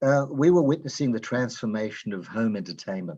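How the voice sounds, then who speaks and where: In an Australian accent, a man speaks at a moderate pace with a medium pitch. His pitch swings very widely, and the background is quiet. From Australia, Melbourne. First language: Yiddish. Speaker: open mic participant. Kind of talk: reading a personal memoir piece.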